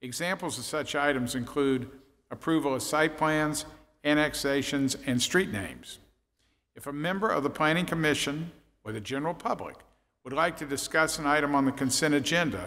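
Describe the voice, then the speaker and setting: This man's voice has a bright, sharp tone. His pitch varies in an ordinary way. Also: moderate pace. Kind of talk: procedural reading at public meeting. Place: hall. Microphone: podium.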